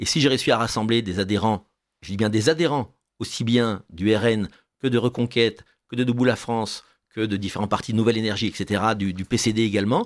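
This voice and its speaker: Over a very clean recording with a silent background, a man talks in a plain, everyday voice at a fairly quick pace. His pitch is medium and his intonation fairly even. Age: 60s. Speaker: political candidate. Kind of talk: radio interview.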